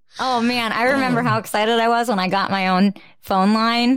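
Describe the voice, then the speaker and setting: A woman with a slight New Jersey accent, at a fairly quick pace with ordinary pitch variation. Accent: New Jersey American, slight. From New Jersey, US. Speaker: podcast host. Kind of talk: casual chat.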